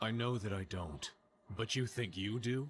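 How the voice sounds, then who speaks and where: Using a put-on character voice, a man speaks at a moderate pace with medium pitch, ordinary pitch variation and very even loudness. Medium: machinima. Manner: terse, blunt.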